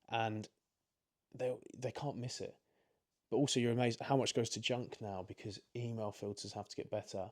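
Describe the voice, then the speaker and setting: With an English accent, a man of medium pitch speaks in a monotone, flat way at a moderate pace, leaving long, frequent pauses. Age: 20s. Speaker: recruitment company director. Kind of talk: interview. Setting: at home.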